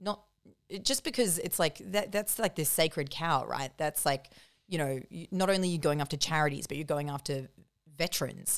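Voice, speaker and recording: An Australian accent with ordinary pitch variation and a moderate pace. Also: woman, fairly low pitch for a woman. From country New South Wales, Australia. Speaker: comedian and journalist. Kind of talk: casual chat.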